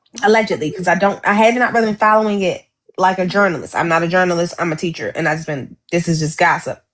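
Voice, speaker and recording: Very fast speech from a woman at medium pitch, with ordinary pitch variation. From Baltimore, US. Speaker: teacher and podcast co-host. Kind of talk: casual chat. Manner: animated.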